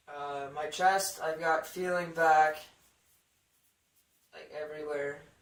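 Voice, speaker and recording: Relaxed in tone, a man speaks very slowly with long, frequent pauses and flat, monotone intonation at a fairly high pitch. Room echo is audible. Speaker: vlogger. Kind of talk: video diary. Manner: casual, relaxed.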